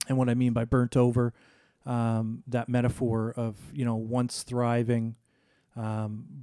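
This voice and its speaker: A man's dark, mellow, medium-pitched voice in a very slow, monotone, flat delivery, dry and close with no echo, on a very clean recording with a silent background. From Nova Scotia, Canada. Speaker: church planting network leader. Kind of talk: casual interview.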